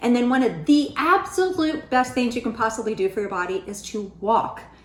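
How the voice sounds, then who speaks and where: A woman speaks at a high pitch with lively intonation. Background noise is noticeable. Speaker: weight loss vlogger. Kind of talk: casual vlog talk.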